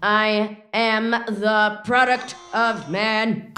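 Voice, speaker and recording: Using a put-on character voice, a woman pitches her speech fairly high. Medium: audio drama. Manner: stilted, broken grammar.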